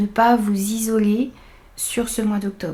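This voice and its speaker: A woman speaks in a fairly high pitch with a dark, mellow tone and a somewhat breathy quality. Her intonation stays fairly even. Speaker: tarot reader. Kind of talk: tarot reading.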